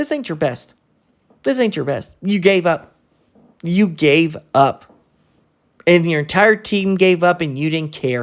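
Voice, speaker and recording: Pausing long and often, a man speaks at a high pitch and a fairly slow pace in an animated tone. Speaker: sports commentary youtuber. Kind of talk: casual rant to camera. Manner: stuttering, halting when angry.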